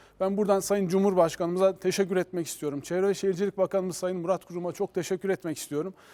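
A man's very fast, high-pitched voice, dark and mellow in tone, monotone and flat, with hardly any pauses and a dry, close sound with no echo. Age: 40s. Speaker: mayor. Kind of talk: TV interview.

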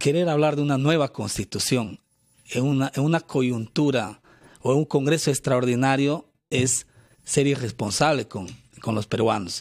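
Against a quiet background, a man speaks at a fairly slow pace with a medium pitch and ordinary pitch variation. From Peru. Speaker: congressman and party spokesman; party spokesman. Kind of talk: radio interview. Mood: firm, earnest political argument. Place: studio. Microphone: studio mic.

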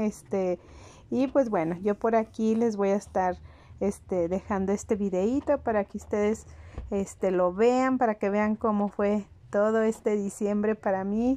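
A woman with a Mexican accent, dark and mellow in tone, at a fairly slow pace with fairly even intonation. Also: medium pitch for a woman. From Mexico. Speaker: home vlogger. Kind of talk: casual vlog narration. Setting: at home.

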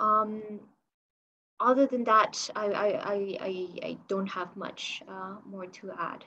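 Over light background noise, the voice has a bright, sharp tone and fairly even intonation. It goes at a very slow pace, with big swings in loudness. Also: woman. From Spain (Barcelona). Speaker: policy manager at business chamber. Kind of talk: panel discussion on video call. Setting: video call. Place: office. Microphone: video call.

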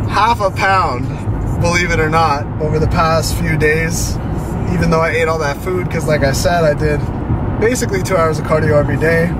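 Over loud background noise, a man speaks at a fairly quick pace in a dry sound with no echo. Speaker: vlogger. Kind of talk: casual vlog chat. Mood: relaxed, upbeat. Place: car.

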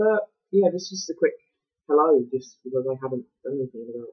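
A man speaks in an English accent. His voice is somewhat breathy over a quiet background. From England. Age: 20s. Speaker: vlogger; student vlogger. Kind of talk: vlog. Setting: uni room. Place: home room. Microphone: poor laptop mic, awful sound; webcam.

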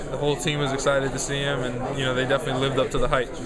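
A man rattles off words at a very fast pace against loud background noise. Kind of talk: interview answer. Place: studio.

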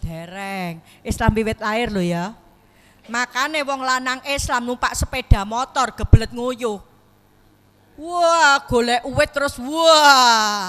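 A woman speaks at a very slow pace in a high-pitched, bright, sharp tone with lively intonation. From Lombok, Indonesia (born in Solo); Lombok, Indonesia. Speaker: Islamic preacher. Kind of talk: sermon. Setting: mosque gathering. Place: hall. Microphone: handheld.

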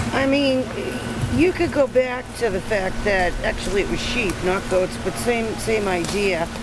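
Loud background noise fills the recording. The speech moves at a fairly slow pace. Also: woman. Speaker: goat farmer. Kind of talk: interview. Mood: relaxed, lightly humorous. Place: garden.

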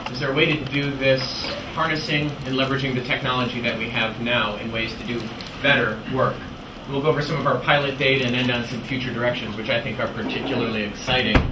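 Noticeable noise sits behind the voice. A man rattles off his words at a very fast pace. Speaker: presenter. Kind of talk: lecture. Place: classroom.

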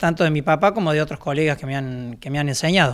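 The background stays quiet while a man is talking. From Argentina, Córdoba province. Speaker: baker. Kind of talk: interview. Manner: hesitant. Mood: calm, reflective. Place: workshop. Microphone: handheld.

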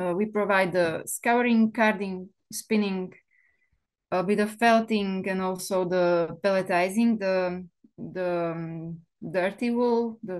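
Against a quiet background, a woman with a Slovak accent speaks at a very slow pace with fairly even intonation. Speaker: wool mill owner. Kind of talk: seminar presentation. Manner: halting, many fillers.

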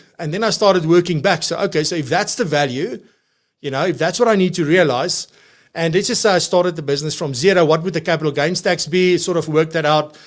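Against a quiet background, a man with a high pitch talks at a very fast pace. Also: ordinary pitch variation. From South Africa. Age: 40s. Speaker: podcast host, financial practice coach. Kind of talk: live show presenting and talk. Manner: animated. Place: studio. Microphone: studio mic.

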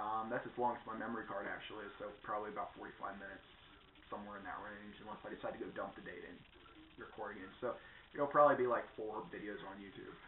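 Fairly low in pitch, a man talks at a very fast pace with fairly even intonation. The recording has audible room echo and light background noise. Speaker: vlogger. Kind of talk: casual vlog chat. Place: home room.

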